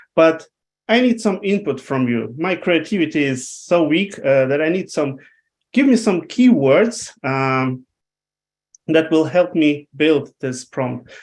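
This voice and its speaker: Against a quiet background, a man with a non-native accent talks at a fairly slow pace. His voice is fairly high, with lively intonation. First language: not English. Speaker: webinar presenter. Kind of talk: live presentation. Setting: online webinar with screen share. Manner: halting, many fillers.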